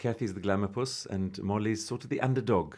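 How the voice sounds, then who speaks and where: With a dark, mellow tone, a man talks at a fairly low pitch with ordinary pitch variation. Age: 40s. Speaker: drag performer. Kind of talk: casual chat. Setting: studio.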